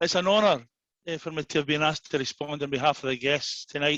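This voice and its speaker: Here a man with a Glaswegian accent talks at a fairly quick pace and a fairly high pitch, with fairly even intonation. The sound is dry and close with no echo against a quiet background. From Scotland, Glasgow. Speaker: after-dinner speaker. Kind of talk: after-dinner speech.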